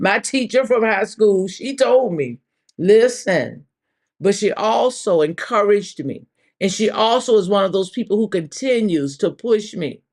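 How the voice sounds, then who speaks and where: Delivered at a fairly slow pace, the speech has an animated tone and lively intonation. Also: woman, medium pitch for a woman. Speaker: church minister leading a live devotional. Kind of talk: live devotional talk. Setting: livestream. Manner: loud.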